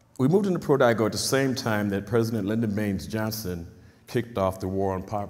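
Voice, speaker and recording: Very fast delivery with ordinary pitch variation, set in audible room echo. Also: man. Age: 50s. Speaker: community activist. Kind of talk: talk. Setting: stage with audience.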